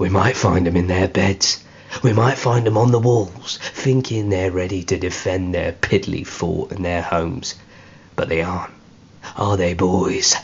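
Growling in a put-on character voice, a man speaks at a moderate pace with a very deep, low pitch and ordinary pitch variation. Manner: gruff, menacing, contemptuous.

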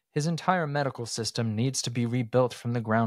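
Reading aloud in a natural voice, with the usual amount of rise and fall in pitch

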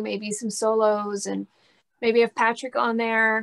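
A woman with an American accent, her pitch fairly high, at a fairly slow pace against a quiet background. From Texas, Dallas area. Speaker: rock guitarist and singer; guest. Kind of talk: casual interview chat. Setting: video call. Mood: relaxed, friendly. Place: studio. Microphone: video call.

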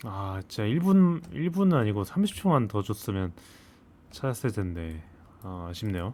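A man speaks at a very slow pace in a dark, mellow tone. His pitch swings very widely. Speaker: gaming video creator. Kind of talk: gameplay commentary. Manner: thinking aloud, hesitant.

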